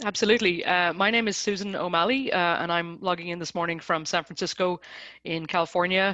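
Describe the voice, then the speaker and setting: With an Irish accent, a woman speaks at a fairly low pitch and a fairly quick pace. Her tone is bright and sharp, her intonation fairly even. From Ireland. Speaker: design consultancy director. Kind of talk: online webinar interview. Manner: hesitant, many repetitions.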